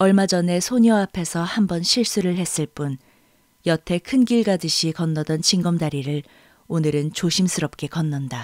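A woman with a normal speaking voice, fairly low in pitch, ordinary pitch variation and a moderate pace, in a dry, close recording with no echo, very clean with a silent background. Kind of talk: audiobook reading of a literary novel, third-person narration. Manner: measured, calm storyteller pace with gentle, expressive narration.

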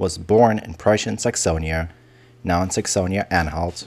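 A man with a German accent talks at a moderate pace in a very deep, low pitch with ordinary pitch variation. The recording is very clean, with a silent background. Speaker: history video narrator. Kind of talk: scripted educational narration.

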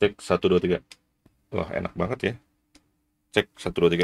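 A man's low-pitched voice with vocal fry, little pitch movement and a moderate pace

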